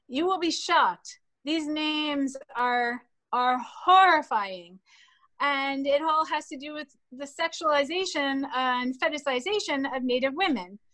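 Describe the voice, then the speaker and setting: With an American accent, a woman projects a high, raised voice, bright and sharp in tone, with lively intonation, big swings in loudness, and a fairly slow pace. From Western Massachusetts. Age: 50s. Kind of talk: interview.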